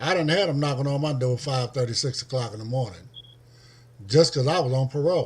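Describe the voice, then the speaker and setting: A man speaks at a fairly quick pace in a medium pitch, somewhat breathy, with ordinary pitch variation. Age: 60s. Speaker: former parolee. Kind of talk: casual discussion.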